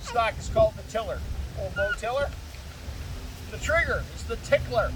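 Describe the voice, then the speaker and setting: Noticeable background noise accompanies a man talking at a fairly quick pace. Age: 70s. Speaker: historical demonstrator. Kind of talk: live demonstration talk. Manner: animated.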